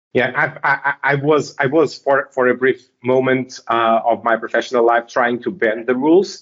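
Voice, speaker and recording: A man with a Portuguese accent speaks at a moderate pace in a medium pitch, keeping very even loudness, fairly even intonation and hardly any pauses. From Portugal. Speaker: software technical lead. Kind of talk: interview.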